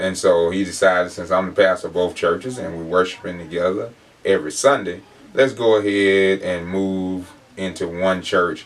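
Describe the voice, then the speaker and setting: A man with an Alabama accent speaks at a very deep, low pitch. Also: fairly even intonation, moderate pace. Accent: US South, Alabama. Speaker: pastor. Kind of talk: interview.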